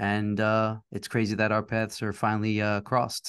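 A man with a New York accent and a fairly low pitch. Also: quiet background. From New York, Queens. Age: 50s. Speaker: podcast host, design studio owner. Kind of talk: casual interview. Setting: studio.

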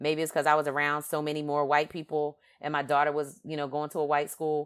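A woman with a very deep, low pitch speaks with a Philadelphia accent in a very clean recording with a silent background. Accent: Philadelphia, East Coast US. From Philadelphia, US East Coast. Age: 50s. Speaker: podcast host. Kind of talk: monologue podcast commentary. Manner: animated, conversational with frequent fillers.

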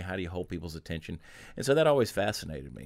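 Speaking very fast with lively intonation, a man with an American accent uses a very deep, low pitch on a very clean recording over a silent background. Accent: Southern US, somewhat toned down. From US South, Augusta, Georgia. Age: 40s. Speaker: humorist and storyteller. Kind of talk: casual interview chat. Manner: fast talker.

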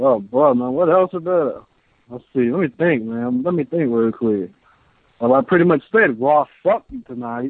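Lively intonation from a man in a plain, everyday voice, medium-pitched, at a moderate pace. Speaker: caller. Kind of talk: casual chat. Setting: phone call. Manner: joking.

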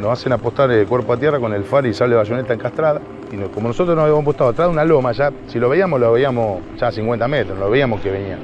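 Over music in the background, a man with a medium pitch talks at a very fast pace with ordinary pitch variation. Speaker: Falklands war veteran. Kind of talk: testimony.

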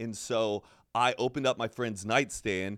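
A man speaks in a plain, everyday voice at a medium pitch and moderate pace. The sound is dry and close with no echo, on a very clean recording with a silent background. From Texas. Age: 30s. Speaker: podcaster. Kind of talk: casual chat.

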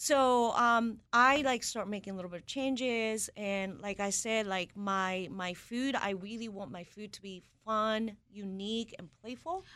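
A woman's fairly high, bright, sharp voice with a Japanese accent, at a fairly slow pace with hardly any pauses. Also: ordinary pitch variation. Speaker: executive chef. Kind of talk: interview.

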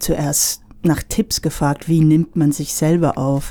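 A woman speaks very slowly in a very deep, low voice. Her tone is dark and mellow, with fairly even intonation. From United States. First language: English (speaking German). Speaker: singer-songwriter. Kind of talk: radio interview.

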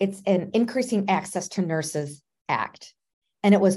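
Her voice has a dark, mellow tone. The woman's pitch sits in the medium range. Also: quiet background. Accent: American. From Minnesota. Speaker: nurse anesthetist, professional association president. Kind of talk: interview.

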